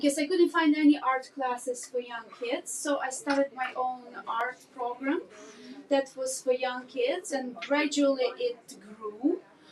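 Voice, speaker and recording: Her pitch high, a woman speaks fairly slowly with a Ukrainian accent and ordinary pitch variation. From Ukraine. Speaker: art teacher and business owner. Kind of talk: podcast interview.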